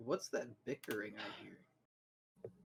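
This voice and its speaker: Raspy and medium-pitched, a man's put-on character voice comes through. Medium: actual play.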